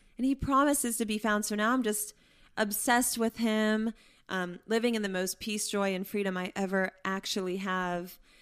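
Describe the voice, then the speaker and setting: With an American accent, a woman talks at a moderate pace in a fairly high pitch and fairly even intonation, heard in a very clean recording over a silent background. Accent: some Pennsylvania expressions. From Pittsburgh, Pennsylvania. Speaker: biblical counselor. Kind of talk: testimony. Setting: at home in a kitchen.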